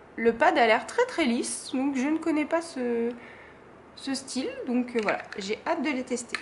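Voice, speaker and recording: Noticeable background noise sits behind a woman with a high pitch. She talks at a fairly slow pace with ordinary pitch variation. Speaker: craft YouTuber. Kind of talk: product haul presentation. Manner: hesitant, many fillers.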